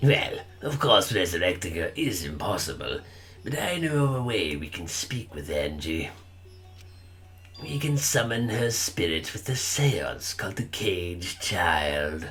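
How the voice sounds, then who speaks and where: Doing a put-on character voice, a man speaks at a fairly slow pace with a fairly low pitch and very wide pitch swings as clear music plays in the background. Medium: game stream. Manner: calm, measured.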